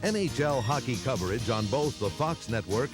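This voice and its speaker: Music plays behind a man of medium pitch who speaks at a moderate pace with lively intonation. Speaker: PA announcer. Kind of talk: promotional marketing voice-over.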